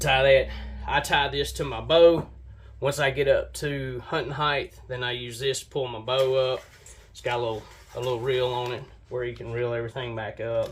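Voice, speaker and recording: A man's medium-pitched, monotone, flat delivery at a moderate pace, with big swings in loudness. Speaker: bowhunting gear YouTuber. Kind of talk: gear review tutorial.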